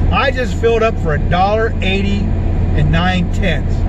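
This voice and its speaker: Loud background noise fills the recording. A man speaks, and the sound is dry with no echo. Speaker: vlogger driving. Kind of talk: casual vlog chat. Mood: cheerful, animated. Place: car. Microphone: phone near.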